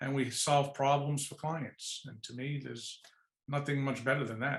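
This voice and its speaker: A man with a New York accent talks at a fairly slow pace and medium pitch. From New York City, Lower East Side. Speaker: executive search firm founder. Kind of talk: podcast interview.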